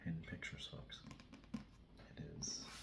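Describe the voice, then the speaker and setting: A man is whispering in a relaxed tone. He keeps to a moderate pace. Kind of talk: ASMR soft-spoken ramble to camera. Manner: soft-spoken, relaxed.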